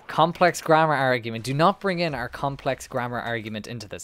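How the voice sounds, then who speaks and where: In an Irish accent, a man talks at a fairly quick pace with ordinary pitch variation, the sound dry with no echo. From Ireland. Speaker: gaming streamer. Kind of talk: casual chat. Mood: joking, bantering. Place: home room. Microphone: headset.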